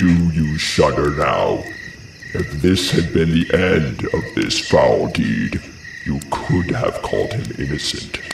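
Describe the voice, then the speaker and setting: A man's put-on character voice at a fairly slow pace, with slight echo and clear background noise. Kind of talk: classical tragic declamation. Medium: audio drama. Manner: solemn, lamenting.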